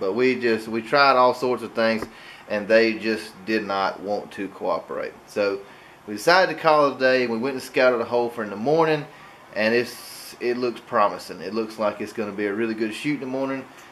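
Light background noise sits behind a man with an Alabama accent. He speaks fairly quickly at a medium pitch with ordinary pitch variation. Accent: US Southern (Alabama). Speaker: hunting vlogger. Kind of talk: vlog narration.

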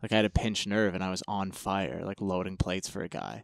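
In a very clean recording with a silent background and a dry, close sound free of echo, a man talks at a fairly low pitch with fairly even intonation. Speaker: powerlifter. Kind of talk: casual chat.

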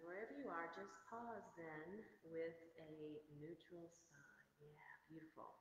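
A woman's fairly low voice at a very slow pace, big swings in loudness, light background noise and audible room echo. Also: ordinary pitch variation. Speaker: yoga instructor. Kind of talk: guided yoga class. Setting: online video class. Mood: calm, soothing. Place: gym. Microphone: camera far.

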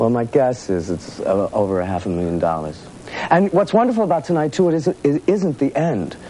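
A man's pitch swings very widely over light background noise. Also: fairly quick pace, dry sound with no echo. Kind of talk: interview answer. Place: studio. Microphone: lapel.

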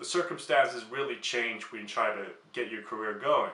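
Noticeable background noise fills the clip. A man does the talking. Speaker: YouTuber. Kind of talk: product demo vlog. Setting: at home.

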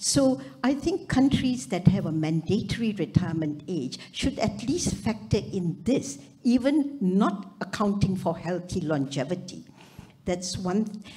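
The pace is fairly slow. Pitch swings very widely throughout. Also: woman. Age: 80s+. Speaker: retired surgeon, audience member; audience member. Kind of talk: audience comment at a summit. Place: hall. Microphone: handheld.

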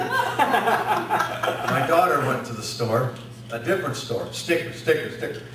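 A man speaks over loud background noise, with audible room echo. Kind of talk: comedic stage patter. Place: meeting room. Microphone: pa.

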